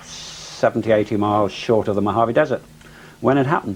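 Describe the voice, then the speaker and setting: This man speaks with an English accent. His delivery is fairly quick. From England. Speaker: civilian pilot. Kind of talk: interview testimony. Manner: halting, many fillers.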